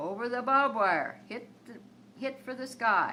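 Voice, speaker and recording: Very slowly, a woman speaks in a bright, sharp tone. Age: 80s. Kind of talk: poetry reading.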